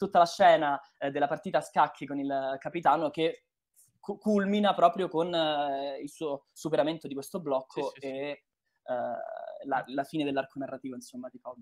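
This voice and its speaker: With long, frequent pauses and big swings in loudness, a man talks at a moderate pace in a fairly high voice. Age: 20s. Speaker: voice actor. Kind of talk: casual chat.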